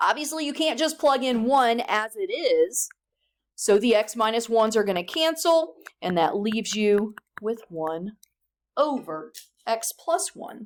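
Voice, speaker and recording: A woman with fairly high pitch and very wide pitch swings, at a fairly slow pace. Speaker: high school math teacher. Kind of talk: classroom lecture. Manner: deliberately slowed.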